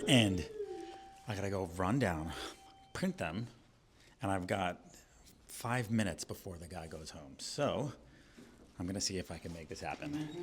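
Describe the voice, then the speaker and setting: A man with a very deep, low pitch speaks at a moderate pace with lively intonation, big swings in loudness, and long, frequent pauses. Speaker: content creator / homeowner doing DIY permit. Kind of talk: vlog narration. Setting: city government building.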